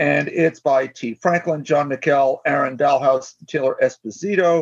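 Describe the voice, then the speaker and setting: With lively intonation, a man speaks in a normal speaking voice at a fairly high pitch. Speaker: podcast co-host. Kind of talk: casual chat.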